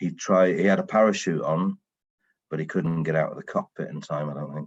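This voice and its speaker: Talking at a fairly quick pace, a man speaks with a British accent. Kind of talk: podcast interview guest. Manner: storytelling.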